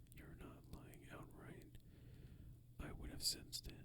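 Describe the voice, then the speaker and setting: The voice whispers at a very slow pace. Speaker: ASMR creator. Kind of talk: read story. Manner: whispered.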